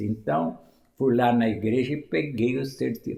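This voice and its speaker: A man speaks at a fairly slow pace. His voice carries vocal fry. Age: 80s+. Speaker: former mayor and local historian. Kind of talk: interview storytelling.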